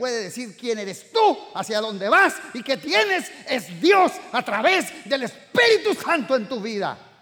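Raised, projected speech from a man, swinging very widely in pitch. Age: 60s. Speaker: pastor. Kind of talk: sermon. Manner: animated.

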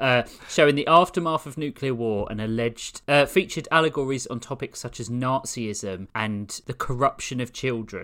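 A man's voice has a bright, sharp tone and ordinary pitch variation, with big swings in loudness. The recording is very clean, with a silent background. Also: medium pitch for a man, moderate pace, hardly any pauses. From southeast London. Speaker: podcast co-host. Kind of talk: casual chat.

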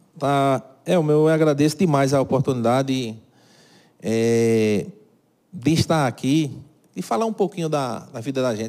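On a very clean recording with a silent background, a man with a fairly high pitch and a dark, mellow tone speaks at a fairly slow pace with long, frequent pauses. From Brazil, Cajazeiras (Paraíba). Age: 50s. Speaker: carpentry business owner. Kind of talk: interview.

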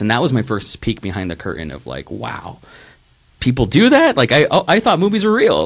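The speaker is a man with an American accent. He talks at a very fast pace. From Texas Rio Grande Valley. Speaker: filmmaker. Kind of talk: casual interview. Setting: studio live stream. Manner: animated.

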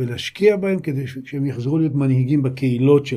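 With a dark, mellow tone, a man talks, his pitch shifting in an ordinary way. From Israel, Hefer Valley moshav. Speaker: insurance agency founder and investor. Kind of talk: interview conversation.

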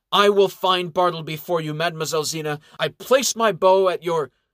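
A man's put-on character voice, high-pitched and fairly quick, with a dry, close sound and no echo. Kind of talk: formal, theatrical. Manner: chivalrous, declaring.

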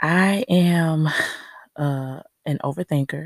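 With a very deep, low pitch, a woman speaks at a very slow pace in a dry, close sound with no echo. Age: 20s. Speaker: podcast host. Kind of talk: casual monologue. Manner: many filler words.

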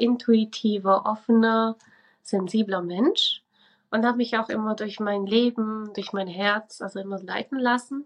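In a plain, everyday voice, the speaker talks at a fairly slow pace with fairly even intonation over a quiet background. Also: woman. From Switzerland. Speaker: religious educator and spiritual coach. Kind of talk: casual interview.

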